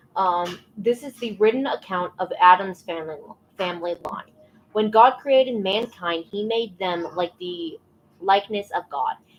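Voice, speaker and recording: Background noise is clearly present. A woman talks, and her pitch moves in an ordinary way. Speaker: livestreamer reading the Bible. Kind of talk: casual livestream chat and reading aloud. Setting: livestream. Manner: stumbling over words.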